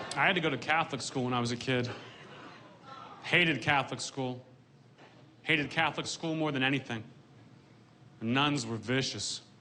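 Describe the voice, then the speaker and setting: A man's medium-pitched, deadpan delivery at a moderate pace, fairly even in intonation, with long, frequent pauses and noticeable background noise. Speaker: stand-up comedian. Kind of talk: stand-up comedy set to a live audience. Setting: live comedy venue with audience laughter. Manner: deadpan, dry delivery.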